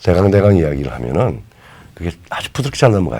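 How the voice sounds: This man speaks at a very deep, low pitch with a dark, mellow tone and very wide pitch swings.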